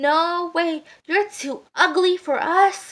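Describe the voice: A woman uses a put-on character voice with extremely high pitch and a fairly bright tone. She speaks at a slow pace with ordinary pitch variation.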